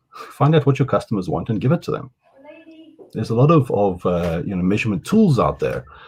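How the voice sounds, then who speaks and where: With a South African accent, a man talks at a fairly quick pace and a medium pitch, his pitch swinging very widely. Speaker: digital marketing consultant. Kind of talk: masterclass interview. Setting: video call. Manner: halting.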